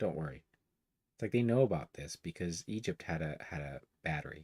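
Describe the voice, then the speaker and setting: With lively intonation, a man speaks at a fairly quick pace in a very deep, low voice that sounds dry and close, with no echo. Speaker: online commentator. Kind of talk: casual reading and commentary livestream. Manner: voice drops low at times; rambling, halting with fillers.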